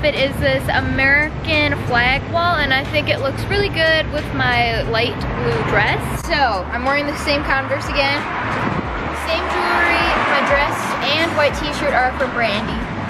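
Over music in the background, a woman speaks at a fairly slow pace with ordinary pitch variation. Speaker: fashion vlogger. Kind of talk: casual vlog chat. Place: street. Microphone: phone near.

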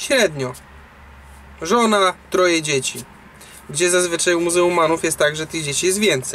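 A high-pitched man at a moderate pace, ordinary pitch variation, light background noise. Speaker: truck driver vlogger. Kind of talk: casual vlog chat, opinion. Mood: serious, concerned. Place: car. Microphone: phone near.

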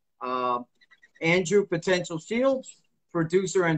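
A male speaker in a quiet background. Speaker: martial arts instructor and author. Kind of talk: casual interview. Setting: live video stream. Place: home room. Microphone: video call.

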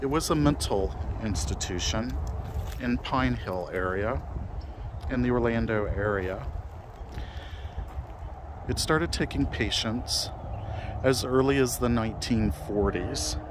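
A man speaks with a fairly low pitch at a fairly slow pace. Long pauses come often, and there is noticeable background noise. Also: dry sound with no echo. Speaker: cemetery ghost-hunting vlogger. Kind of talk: narrated walk-through commentary. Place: open country. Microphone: phone near.

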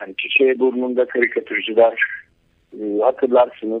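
Against a quiet background, a man speaks. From Turkey. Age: 60s. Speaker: cartoonist; interview guest. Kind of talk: casual interview. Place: studio.

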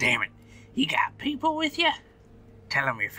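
A put-on character voice delivers its lines at a high pitch and a moderate pace. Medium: actual play. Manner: gruff, suspicious, threatening.

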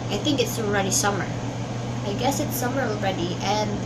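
Loud background noise sits behind a speaker with a Filipino accent. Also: woman. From Philippines. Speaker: vlogger. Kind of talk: casual vlog monologue. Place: home room. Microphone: webcam.

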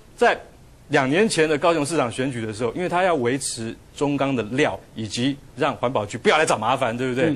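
Lively intonation marks speech delivered at a moderate speed. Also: man. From Taiwan. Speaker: journalist. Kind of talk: TV talk show panel. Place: studio. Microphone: lapel.

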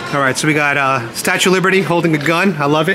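Noticeable background noise accompanies a man who talks very fast with ordinary pitch variation. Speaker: YouTuber doing street interviews. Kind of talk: street interviews. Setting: outdoors. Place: street. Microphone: phone near.

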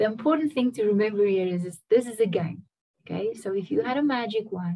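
A woman's somewhat breathy voice at a fairly quick pace, with lively intonation and a quiet background. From Namibia. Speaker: singer-songwriter; guest. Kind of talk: interview answer. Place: home room. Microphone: video call.

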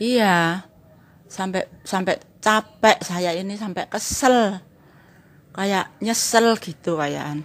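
A woman speaks at a very slow pace, her pitch varying in an ordinary way. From Javanese community. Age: 60s. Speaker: cracker maker and customer; interviewee. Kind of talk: testimony. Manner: informal. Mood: earnest, recounting hardship. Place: home room. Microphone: handheld.

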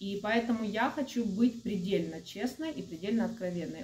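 A woman with a dark, mellow, somewhat breathy tone speaks at a moderate pace, using ordinary pitch variation. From Ukraine. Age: 40s. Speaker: video blogger. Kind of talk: casual monologue to camera. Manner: friendly, chatty. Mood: calm, earnest. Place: home room. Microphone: phone near.

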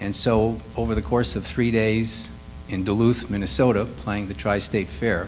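A man with an American accent, fairly low-pitched, at a moderate pace, faint music in the background. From Chicago, west side. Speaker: composer and musician; panelist. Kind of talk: panel discussion. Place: hall.

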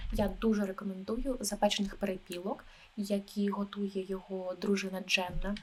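A woman speaks in a calm tone at a medium pitch, somewhat breathy. Her intonation is monotone and flat, at a moderate pace. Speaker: travel agent (role-play). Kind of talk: ASMR role-play, soft-spoken talk. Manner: soft-spoken, calm.

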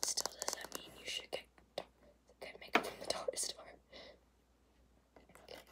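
Whispered speech from a woman. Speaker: ASMR creator. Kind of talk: ASMR makeup tapping video. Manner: casual, chatty. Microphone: phone near.

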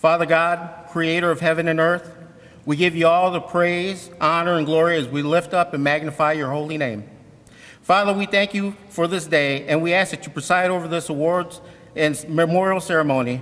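A man's high-pitched voice holds fairly even intonation at a moderate pace. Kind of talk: prayer. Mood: solemn and reverent. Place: hall. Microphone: podium.

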